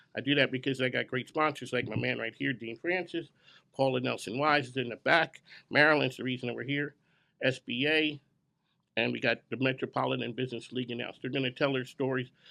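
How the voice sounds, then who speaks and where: A man with an American accent and a bright, sharp tone, very fast pace, fairly even intonation and vocal fry over a quiet background. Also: medium pitch for a man. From Philadelphia. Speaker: business radio show host. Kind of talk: event emcee speech to live audience. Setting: grand opening event with audience. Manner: casual, unscripted.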